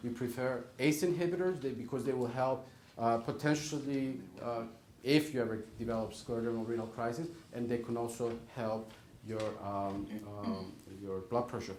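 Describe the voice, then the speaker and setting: With a non-native accent, a man talks at a moderate pace and medium pitch with ordinary pitch variation, and room echo can be heard. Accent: foreign. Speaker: rheumatologist. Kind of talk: Q&A talk to patients. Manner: emphatic, repetitive.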